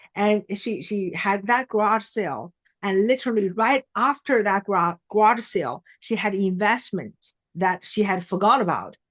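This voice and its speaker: A woman with a non-native accent, heard in a dry, close sound with no echo. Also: medium pitch for a woman, ordinary pitch variation, moderate pace. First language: not English. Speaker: mindset trainer and keynote speaker. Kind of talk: podcast interview.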